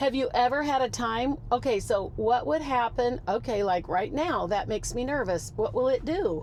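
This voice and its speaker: A woman's animated, high-pitched voice with lively intonation, a moderate pace and hardly any pauses. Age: 60s. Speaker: car passenger trying self-driving. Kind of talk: casual chat. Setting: in a car.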